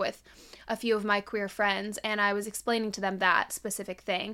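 A woman with a fairly high pitch, an animated, upbeat tone and a fairly quick pace over noticeable background noise. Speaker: podcast host. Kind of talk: casual chat.

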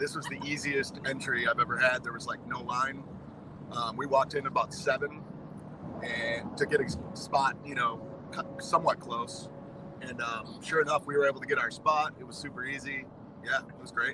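Amid noticeable background noise, this voice keeps a fairly even intonation while its loudness swings widely, with long, frequent pauses. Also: man, fairly high pitch for a man, moderate pace. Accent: American. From Wisconsin. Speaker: concert-goer, music fan. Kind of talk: casual chat.

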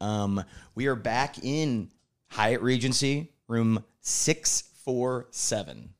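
On a very clean recording with a silent background, a man's pitch varies in an ordinary way. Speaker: podcast host, critical care pharmacist. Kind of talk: casual chat. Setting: convention center, in person. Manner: animated.

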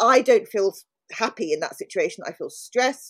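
A woman's high-pitched voice in a London accent, full of very wide pitch swings, with a dry, close sound and no echo. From South London. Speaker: podcast co-host. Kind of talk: casual interview chat.

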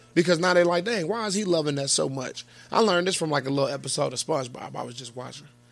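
A high-pitched man talking very fast, with music in the background. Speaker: podcast host. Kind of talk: casual chat. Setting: live stream.

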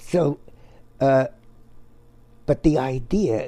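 With a dark, mellow tone, a man talks at a very slow pace and sounds somewhat breathy. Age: 80s+. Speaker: retired comic book artist. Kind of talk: casual interview conversation.

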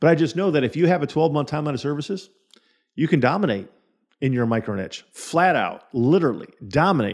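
A man talks at a fairly quick pace, fairly high in pitch, with lively intonation. It's a plain, everyday voice against a quiet background. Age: 40s. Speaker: podcast host and insurance sales coach. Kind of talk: solo podcast monologue.

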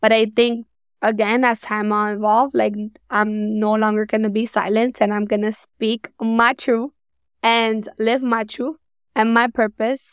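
A woman with an American accent speaks at a fairly slow pace in a monotone, flat intonation on a very clean recording with a silent background. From New York. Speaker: social work career coach. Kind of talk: interview conversation.

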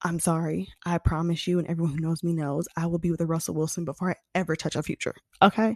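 A woman's animated, very fast speech at a fairly low pitch, dry and close with no echo, over a quiet background. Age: 20s. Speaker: podcast host. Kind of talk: casual monologue.

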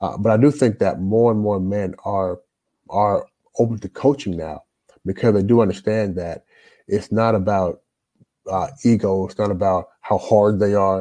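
A man's fairly low, dark, mellow voice with an American accent, fairly even intonation and a moderate pace. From Louisville, Kentucky (US South), Jamaican parents. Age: 40s. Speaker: life coach. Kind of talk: casual interview.

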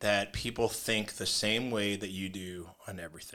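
A man with an American accent and a bright, sharp tone, in a very clean recording with a silent background. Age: 40s. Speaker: podcast co-host, military veteran. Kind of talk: casual chat.

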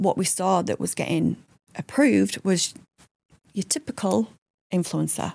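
Speaking with a Yorkshire accent at a moderate pace, a woman leaves long, frequent pauses, and the sound is dry and close with no echo. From Yorkshire, England. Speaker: digital marketing executive. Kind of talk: casual chat.

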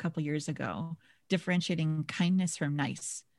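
On a very clean recording with a silent background and a dry, close sound with no echo, a woman with an American accent and an ordinary speaking voice talks at a moderate pace. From Minnesota. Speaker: leadership coach. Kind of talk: casual interview chat.

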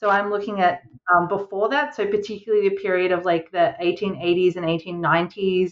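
A woman speaks in an Australian accent at a medium pitch. Her pace is moderate and her pitch variation ordinary. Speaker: historian and librarian. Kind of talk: interview.

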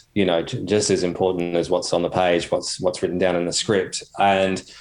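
At a moderate pace, a man with an Australian accent talks with a fairly low pitch. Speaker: children's TV writer. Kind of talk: interview conversation. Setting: studio.

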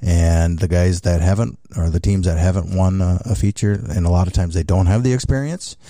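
This man speaks with a very deep, low pitch and a dark, mellow tone. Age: 60s. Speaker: racing series owner. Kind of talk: interview. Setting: studio.

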